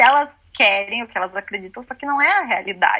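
Her intonation is lively and her pitch high. This woman speaks at a fairly quick pace. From southern Brazil (Rio Grande do Sul). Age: 20s. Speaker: astrologer. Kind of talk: casual chat.

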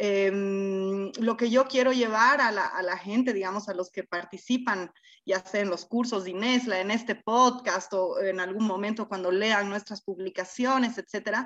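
A bright, sharp tone at a fairly slow pace. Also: woman. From Bolivia. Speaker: institute co-founder, sociologist. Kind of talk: interview.

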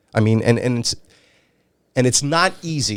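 Using ordinary pitch variation, a man with an American accent talks at a medium pitch and moderate pace. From New York City and northern New Jersey. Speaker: retired sex crimes investigator. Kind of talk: interview. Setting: studio.

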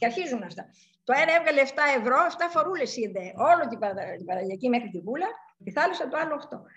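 Her pitch high and swinging very widely, a woman speaks with big swings in loudness. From Greece, Larissa. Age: 70s. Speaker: sculptor. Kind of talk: interview. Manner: halting.

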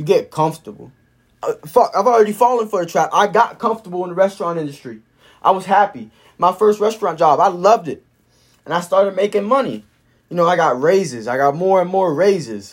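This man talks at a very fast pace with a high pitch. His tone is animated. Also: lively intonation. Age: 20s. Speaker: solo vlogger / podcaster. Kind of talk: casual monologue. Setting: solo recording to camera.

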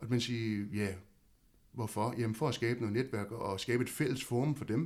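A man with a plain, everyday voice delivers his words at medium pitch and a moderate speed, the pitch varying in an ordinary way. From Denmark, Havnsø (West Zealand). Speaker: local council chairman. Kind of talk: casual interview.

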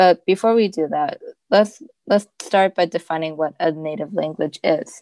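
In a Cantonese accent, a woman speaks at a moderate pace with a dark, mellow tone, a medium pitch and ordinary pitch variation. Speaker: student podcast host. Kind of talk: scripted student podcast presentation.

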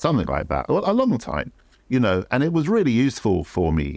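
A man in a London accent speaks at a moderate pace on a very clean recording with a silent background. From London, England. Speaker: photography educator and former magazine art director. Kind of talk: interview.

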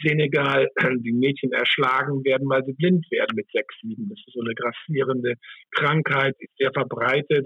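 A man's medium-pitched voice at a moderate pace. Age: 60s. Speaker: hospitality executive. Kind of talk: interview.

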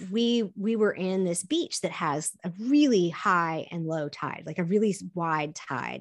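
This woman has a normal speaking voice at a medium pitch, with lively intonation. The background is quiet. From US South, partly raised in Korea. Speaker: optimism coach. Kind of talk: interview conversation.

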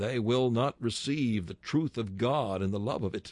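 An unremarkable speaking voice moves at a moderate pace with ordinary pitch variation in a dry, close sound with no echo. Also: man. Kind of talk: sermon read aloud, preacher in full flow. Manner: rousing, declamatory, commanding; rhetorical, building with pointed questions.

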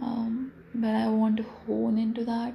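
With noticeable background noise behind her, a woman talks in a fairly high pitch with lively intonation. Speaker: solo podcaster. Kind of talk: casual monologue. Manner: rambling, reflective.

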